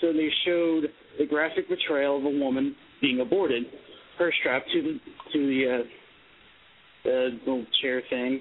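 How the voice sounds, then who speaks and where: With long, frequent pauses, a man speaks at a moderate pace in a fairly high voice, his intonation fairly even and his loudness very even. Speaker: caller. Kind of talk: casual chat. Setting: phone call.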